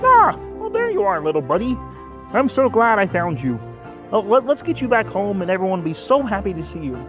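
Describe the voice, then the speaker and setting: Clear music plays in the background as someone does a put-on character voice at a fairly quick pace. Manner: warm, gentle.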